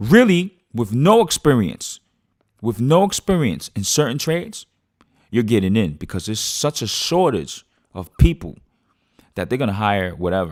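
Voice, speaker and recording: A man with a New York accent talks at a moderate pace in a medium pitch, his animated tone marked by very wide pitch swings and long, frequent pauses. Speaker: podcast host. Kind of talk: casual monologue. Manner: halting.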